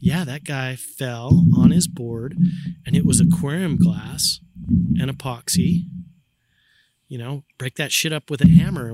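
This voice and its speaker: A man with an American accent shows vocal fry at a fairly high pitch, his pitch varying in an ordinary way in a dry, close sound with no echo. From Utah. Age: 50s. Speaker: snowboarder and brand ambassador. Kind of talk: casual chat. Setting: outdoors on a backyard patio.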